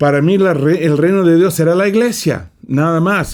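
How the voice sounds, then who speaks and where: A man speaks at a moderate pace. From California, US. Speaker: preacher. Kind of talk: Bible study lesson. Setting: studio. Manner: halting, frequent repetitions.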